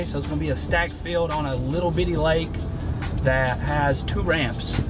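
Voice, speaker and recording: Clear music plays behind a man who speaks at a moderate pace. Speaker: fishing vlogger. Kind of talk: casual vlog chat. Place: car. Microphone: phone near.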